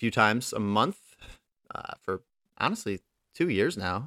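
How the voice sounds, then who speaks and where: A man with a normal speaking voice talks at a moderate pace and a fairly low pitch, recorded very cleanly against a silent background with a dry, close sound and no echo. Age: 20s. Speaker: podcast host and competitive gamer. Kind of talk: solo podcast monologue.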